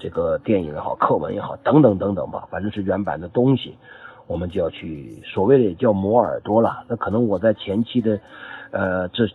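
The speaker has an ordinary speaking voice, a moderate pace and ordinary pitch variation. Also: man. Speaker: French language student, wine importer. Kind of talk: testimony. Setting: group chat voice message. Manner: formal.

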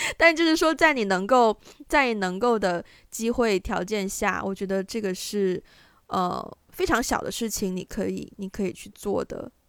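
Over a very clean recording with a silent background, a woman with an ordinary speaking voice talks at a medium pitch and a fairly slow pace, her intonation lively. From China, provincial capital. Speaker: podcast co-host. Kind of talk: casual chat.

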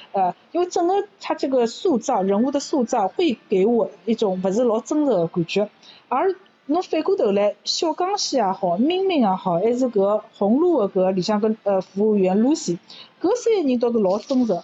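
Her pitch sits fairly high and swings very widely, while her loudness stays very even at a moderate pace. The woman is heard over noticeable background noise. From Shanghai. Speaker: university lecturer. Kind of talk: casual chat in Shanghainese.

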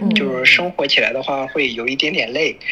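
A man talks at a fairly quick pace with a slight Shandong accent. Noticeable background noise sits behind him. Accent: slight Shandong Mandarin. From Shandong, Yantai. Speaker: trade worker living in Japan. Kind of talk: casual chat.

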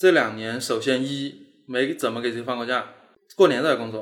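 At a fairly quick pace, a man talks with medium pitch, ordinary pitch variation and a normal speaking voice. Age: 30s. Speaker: animation studio founder. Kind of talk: casual interview chat.

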